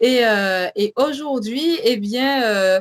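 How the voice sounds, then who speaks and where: A woman's high-pitched voice, dry and close with no echo, shows ordinary pitch variation. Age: 20s. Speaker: religious show co-host. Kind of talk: faith testimony and show introduction. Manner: hesitant, many fillers.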